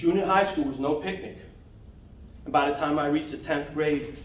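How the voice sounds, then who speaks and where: Recorded with audible room echo and noticeable background noise, a man speaks with an American accent. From New York (Bronx, Long Island). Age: 60s. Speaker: toastmasters club member. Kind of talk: prepared speech. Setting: club meeting.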